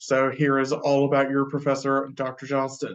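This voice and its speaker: A man with a Texan accent speaks at a fairly high pitch. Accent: Texan American. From Texas, Wichita Falls. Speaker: professor. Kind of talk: lecture. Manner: hesitant, many fillers.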